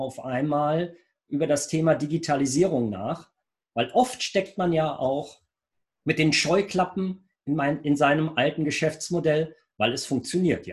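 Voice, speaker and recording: A man's fairly high pitch shows ordinary pitch variation as he talks at a very slow pace. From Lower Rhine region, Germany (Rheinberg). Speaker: IT entrepreneur. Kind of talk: business interview.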